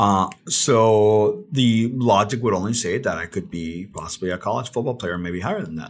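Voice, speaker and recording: Fairly low-pitched male speech at a moderate pace with hardly any pauses and ordinary pitch variation, on a very clean recording with a silent background. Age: 40s. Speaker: psychologist. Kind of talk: casual chat. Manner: halting.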